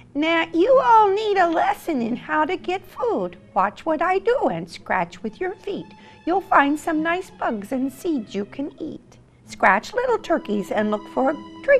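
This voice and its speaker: A female-sounding, extremely high-pitched put-on character voice moves at a fairly slow pace with very wide pitch swings over clear music in the background. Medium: read story.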